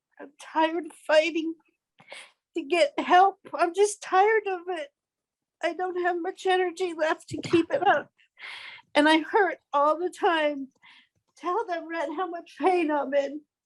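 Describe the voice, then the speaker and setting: With an extremely high pitch, a woman speaks at a fairly slow pace with long, frequent pauses and ordinary pitch variation, the sound dry and close with no echo. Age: 70s. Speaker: patient advocate. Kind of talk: testimony.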